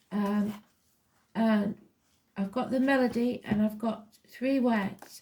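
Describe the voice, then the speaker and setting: With an English accent, a woman speaks at a fairly high pitch in a monotone, flat intonation. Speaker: tarot reader. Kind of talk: personal psychic reading. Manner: deliberately slow.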